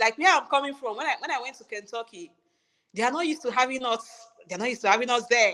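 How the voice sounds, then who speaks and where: The tone is bright and sharp, with a Nigerian accent. Delivery runs at a very fast pace with ordinary pitch variation. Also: woman, high pitch for a woman. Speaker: registered nurse. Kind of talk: interview conversation.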